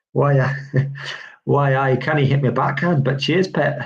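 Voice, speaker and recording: A man performs a put-on character voice, raspy and medium-pitched, at a moderate pace. His intonation is monotone and flat, with audible echo. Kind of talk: casual, friendly.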